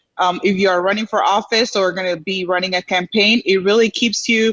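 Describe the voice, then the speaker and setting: In a Dominican accent, a woman speaks at a moderate pace. Her intonation is fairly even. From Dominican Republic, moved to Houston at seven. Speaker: community leader, program alumna. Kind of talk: interview on a live show. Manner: halting, many fillers.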